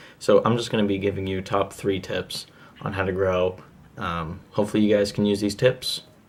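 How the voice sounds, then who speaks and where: Delivered at a moderate speed, the speech stays monotone and flat in intonation. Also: man, fairly low pitch for a man. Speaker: YouTuber giving channel-growth tips. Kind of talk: tutorial. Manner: casual with many fillers.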